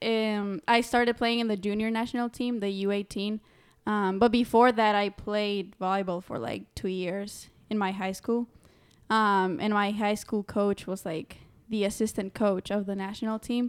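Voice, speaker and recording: With a Spanish accent, a woman speaks at a fairly slow pace in a medium pitch. Her intonation is fairly even, and the recording is very clean with a silent background. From Honduras. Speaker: college student and volleyball player. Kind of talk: casual chat.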